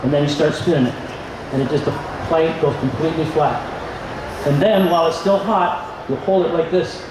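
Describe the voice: At a moderate pace, a man with fairly high pitch and ordinary pitch variation talks over clear background noise.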